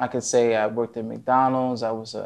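In an American accent, a man speaks at a moderate pace and medium pitch, his intonation monotone and flat. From New Jersey, US. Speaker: IT engineer and author. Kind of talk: interview. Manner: halting.

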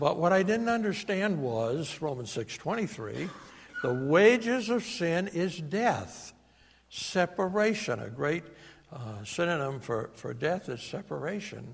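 With a New England accent, a man speaks at a very slow pace and a high pitch, his voice making very wide pitch swings. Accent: New England American. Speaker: preacher. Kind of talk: sermon. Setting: church.

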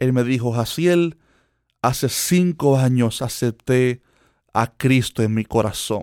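Dry and close with no echo, this very clean recording with a silent background has a man speaking very slowly at a medium pitch. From Cuba. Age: 20s. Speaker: preacher and podcast host. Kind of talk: sermon-style monologue.

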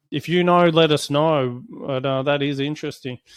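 With an Australian accent, a man speaks at a fairly slow pace. His pitch is fairly high, with ordinary variation. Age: 30s. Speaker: solar company CEO. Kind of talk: product review. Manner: casual, hesitant with fillers.

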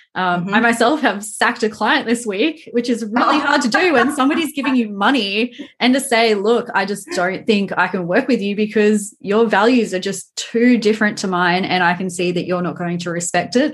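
A woman's fairly high-pitched, fairly quick speech with lively intonation and hardly any pauses, over noticeable background noise. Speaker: podcast host and town planner. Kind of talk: casual interview chat.

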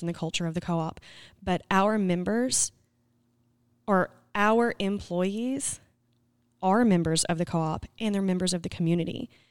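A woman speaks in an Arkansas accent. Her pitch varies in an ordinary way. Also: very clean recording, silent background. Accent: Southern US (Arkansas). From Arkansas (Scranton). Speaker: podcast host, cooperative communications staff. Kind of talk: interview.

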